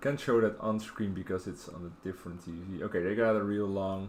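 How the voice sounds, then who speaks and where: A man with a Dutch accent speaks in a relaxed tone, his voice very deep and low. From Netherlands, Rotterdam. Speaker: video game streamer. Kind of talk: casual live-stream chat while gaming. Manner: relaxed, hesitant with many fillers.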